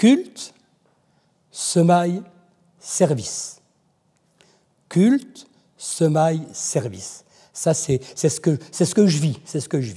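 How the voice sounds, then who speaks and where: With very wide pitch swings and big shifts in loudness, a man with a fairly high pitch talks at a very slow pace, leaving long, frequent pauses. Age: 70s. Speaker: church member giving testimony. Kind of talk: testimony. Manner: halting, many repetitions.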